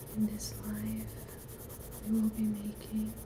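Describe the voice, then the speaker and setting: A woman speaks over noticeable background noise. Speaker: artist. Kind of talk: ASMR art livestream. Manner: whispered.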